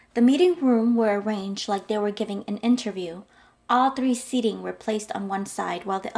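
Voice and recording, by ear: Someone reads the text aloud in a natural voice.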